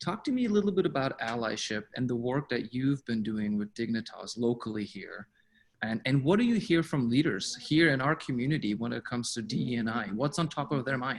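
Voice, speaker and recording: Speaking with a non-native accent, a man of medium pitch uses lively intonation at a fairly quick pace. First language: not English. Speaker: webinar host. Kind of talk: interview.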